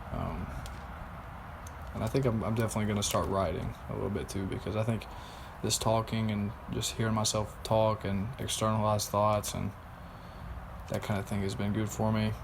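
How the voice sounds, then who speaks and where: A man, somewhat breathy, at a fairly quick pace with fairly even intonation, long, frequent pauses and audible room echo. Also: fairly low pitch for a man. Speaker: vlogger. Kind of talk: personal video diary.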